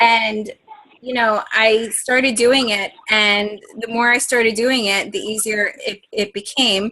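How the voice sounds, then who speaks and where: This woman has an ordinary speaking voice, pitched fairly high. She talks at a fairly slow pace with fairly even intonation. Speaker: health and fitness coach leading team training. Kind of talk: coaching training call. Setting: conference call, recorded.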